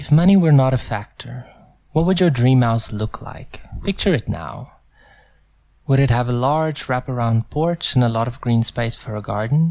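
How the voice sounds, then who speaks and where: Lively intonation marks an unremarkable speaking voice from a man at a medium pitch, speaking at a moderate pace. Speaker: voice actor. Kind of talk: TV commercial read.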